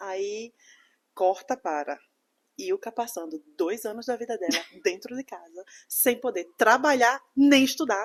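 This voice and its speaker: A woman at a fairly high pitch and fairly slow pace, with very wide pitch swings, big swings in loudness and long, frequent pauses. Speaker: podcast guest, immigrant and dance student. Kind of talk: casual chat, personal story.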